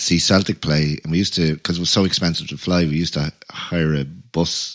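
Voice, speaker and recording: Amid noticeable background noise, a man with a Dublin accent and a very deep, low pitch talks at a fairly quick pace with hardly any pauses. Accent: Dublin Irish. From Ireland. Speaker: musician and podcast host. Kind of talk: casual chat.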